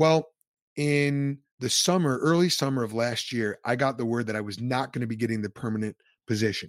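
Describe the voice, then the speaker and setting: A man speaks in a plain, everyday voice at a medium pitch. He talks at a fairly quick pace with ordinary pitch variation. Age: 30s. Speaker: ministry leader and former pastor. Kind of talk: interview conversation.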